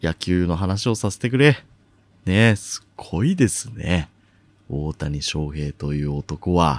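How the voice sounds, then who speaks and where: In a dry, close recording with no echo, a man speaks at a very slow pace with a very deep, low pitch. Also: lively intonation. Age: 20s. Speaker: podcast host. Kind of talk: solo voice essay, casual monologue.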